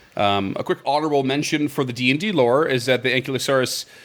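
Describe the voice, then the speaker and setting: A man talks fairly quickly with an East Coast accent. His pitch is fairly high, with ordinary variation. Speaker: podcast host. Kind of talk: casual chat. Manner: halting, many fillers.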